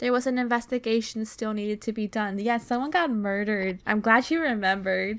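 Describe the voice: What's heard is plain reading aloud.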